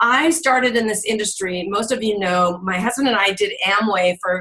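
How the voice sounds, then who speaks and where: With an animated tone and lively intonation, a woman speaks at a moderate pace in a fairly high pitch. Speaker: direct sales marketing director. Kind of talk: online team training call.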